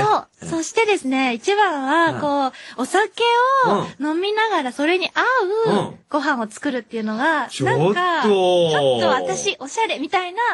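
Her pitch high and swinging very widely, a woman speaks at a fairly slow pace. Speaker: voice actor. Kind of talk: casual radio talk. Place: studio.

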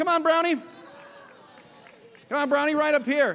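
The man's tone is animated and upbeat. He speaks at a fairly slow pace. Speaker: corporate comedian and emcee. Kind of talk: stand-up emcee act with audience banter and a scripted product pitch. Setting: stage with live audience at a conference. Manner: animated, upbeat, playful showman patter; tongue-in-cheek. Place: stage.

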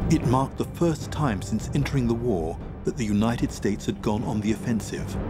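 Over clear music in the background, a man with a British accent and a fairly low pitch talks at a fairly quick pace with lively intonation. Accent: British, received pronunciation. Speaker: voice actor. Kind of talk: documentary narration. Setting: studio. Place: studio.

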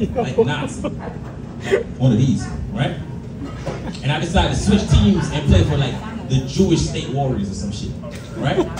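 A man talks at a fairly slow pace with long, frequent pauses. Audible room echo and loud background noise surround him. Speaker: stand-up comedian. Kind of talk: stand-up comedy set, crude raunchy jokes to a live club crowd. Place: bar. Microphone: camera far.

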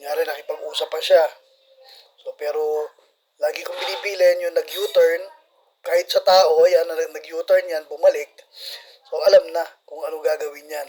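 Long, frequent pauses and big swings in loudness from a man at a moderate pace. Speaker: barangay official narrating CCTV footage. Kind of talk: video commentary.

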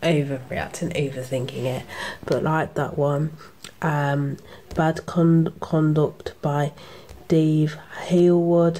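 A woman with a very deep, low voice speaks very slowly and with fairly even intonation over light background noise. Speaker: comic book reviewer. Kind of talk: casual review chat. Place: home room. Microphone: phone near.

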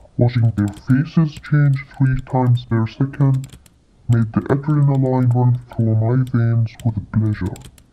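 At a fairly slow pace, the voice sits at a low-to-middle pitch. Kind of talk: courtroom speech. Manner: cold, gloating, menacing.

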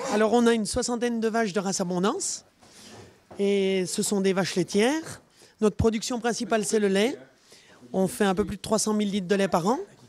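A woman talks fairly quickly at a medium pitch with ordinary pitch variation. She leaves long, frequent pauses. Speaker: dairy farmer. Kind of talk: casual interview.

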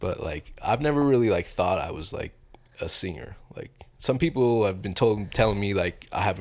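A man talks at a moderate pace. His pitch varies in an ordinary way.

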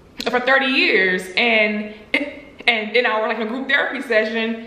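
A woman speaking at a very slow pace, with noticeable background noise. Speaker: YouTuber, stuttering advocate. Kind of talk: casual talk to camera.

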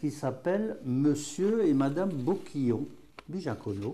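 Very slow in pace, this somewhat breathy voice has a dark, mellow tone and very wide pitch swings. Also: man. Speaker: patois teacher; dialect teacher. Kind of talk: regional dialect lesson. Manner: casual, folksy. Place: classroom. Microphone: lapel.

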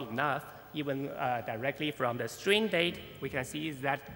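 Faint music sits in the background as a man speaks at a moderate pace. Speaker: conference speaker. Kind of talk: lecture. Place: hall.

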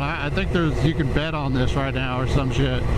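Fairly quick talking under loud background noise, with a dry sound and no echo. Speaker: motorcycle vlogger. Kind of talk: casual vlog chat. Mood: relaxed, joking. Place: motorbike. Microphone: helmet.

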